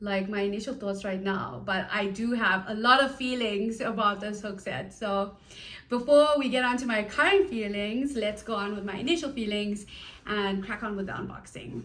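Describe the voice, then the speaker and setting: A woman at a medium pitch and moderate pace, ordinary pitch variation, with noticeable background noise and audible room echo. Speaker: crochet YouTuber. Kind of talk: product review and unboxing. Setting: at home in apartment. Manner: casual, hesitant with fillers; whispering, soft-spoken.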